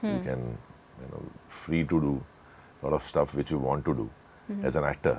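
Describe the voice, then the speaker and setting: Speaking with an Indian accent, a man uses a very deep, low pitch at a moderate pace. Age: 40s. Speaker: actor. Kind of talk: interview answer.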